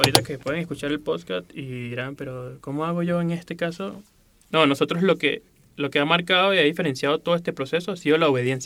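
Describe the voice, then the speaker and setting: Very fast speech in a Venezuelan accent, with ordinary pitch variation and noticeable background noise. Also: man. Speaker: graphic designer and illustrator. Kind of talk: interview.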